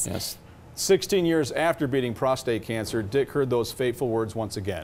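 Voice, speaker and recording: With lively intonation, a man uses an ordinary speaking voice at medium pitch and a moderate pace. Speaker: TV news reporter. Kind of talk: TV news report.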